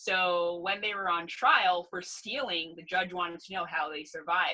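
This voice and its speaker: A woman with a Canadian accent, fairly low-pitched, at a moderate pace, in a plain, everyday voice. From Canada, Ontario. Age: 30s. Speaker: gerontologist. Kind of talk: casual interview.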